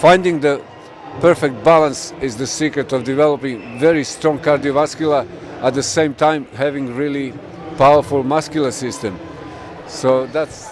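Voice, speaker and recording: Noticeable background noise surrounds a man speaking at a fairly slow pace. His pitch is fairly high, with ordinary variation. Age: 60s. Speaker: fitness trainer, endurance lifting record holder. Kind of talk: interview answer.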